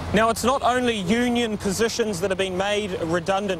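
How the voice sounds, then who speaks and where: With a New Zealand accent, a man speaks in a high pitch with fairly even intonation against noticeable background noise. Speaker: TV news reporter. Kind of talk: news report.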